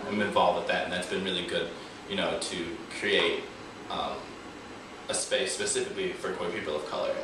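The speech moves at a fairly quick pace. Audible room echo and noticeable background noise are present. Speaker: student interviewer. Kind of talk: interview question. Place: meeting room.

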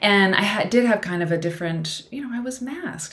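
A somewhat breathy woman with an American accent and lively intonation. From US Midwest. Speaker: vlogger. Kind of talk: casual chat. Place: home room.

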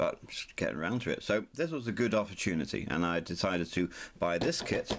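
At a fairly quick pace, a man with a fairly low pitch makes very wide pitch swings over light background noise. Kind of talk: casual vlog chat. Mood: excited, light-hearted. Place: home room.

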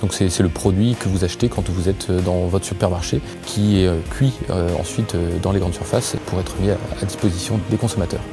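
Over clear music in the background, a man with a very deep, low pitch speaks at a fairly quick pace with ordinary pitch variation and very even loudness, the sound dry with no echo. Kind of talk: interview answer. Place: office. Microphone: lapel.

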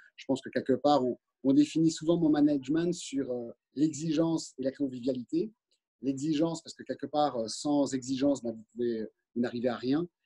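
A moderate pace, fairly even intonation and big swings in loudness, against a quiet background. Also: man. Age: 50s. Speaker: company director. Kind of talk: interview. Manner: halting. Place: office. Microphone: video call.

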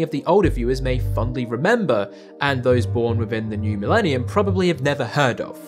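Clear music can be heard behind the speaker. He is a man delivering his words at a fairly fast clip. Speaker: documentary narrator. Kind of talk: commentary. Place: home room.

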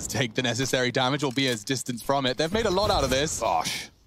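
Here is a man with an ordinary speaking voice. His pitch is medium, with ordinary pitch variation. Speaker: esports caster. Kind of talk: live commentary. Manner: excitable.

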